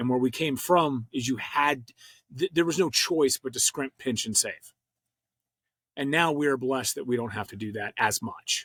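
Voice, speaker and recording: Recorded dry and close with no echo, a man talks at medium pitch and a moderate pace in an ordinary speaking voice with ordinary pitch variation. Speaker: podcast host. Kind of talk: podcast interview.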